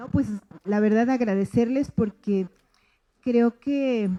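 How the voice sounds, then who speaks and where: Her tone is dark and mellow, and the woman's voice sounds dry and close with no echo. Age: 60s. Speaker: teacher. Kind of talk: closing remarks at school event. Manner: hesitant, many fillers.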